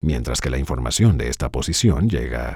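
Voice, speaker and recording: On a very clean recording with a silent background, a man with a very deep, low pitch and vocal fry speaks with lively intonation. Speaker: voice actor. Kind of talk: dubbed first-person science lecture.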